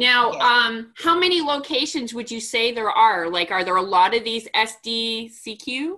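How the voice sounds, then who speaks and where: With a plain, everyday voice, a woman talks at a fairly high pitch and a fairly slow pace, her intonation lively and hardly any pauses. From Montreal, Canada. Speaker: podcast host. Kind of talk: casual interview.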